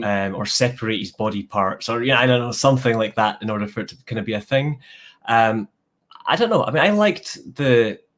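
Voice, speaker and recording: The man talks at a fairly quick pace with a Scottish accent. His intonation is fairly even. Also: medium pitch for a man. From Scotland. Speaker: comic book YouTuber. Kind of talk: casual interview chat. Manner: hesitant, many fillers.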